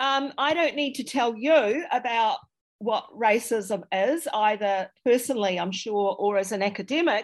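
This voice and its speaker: A woman with a New Zealand accent talks at a fairly slow pace in a fairly high pitch with lively intonation, on a very clean recording with a silent background. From New Zealand, Dunedin. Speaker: historian and author. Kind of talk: interview. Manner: halting.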